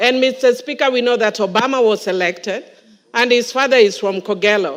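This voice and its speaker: A woman with an American accent talks at a fairly quick pace and a fairly high pitch. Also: ordinary pitch variation. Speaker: member of parliament. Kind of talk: parliamentary speech. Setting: parliament chamber. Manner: animated.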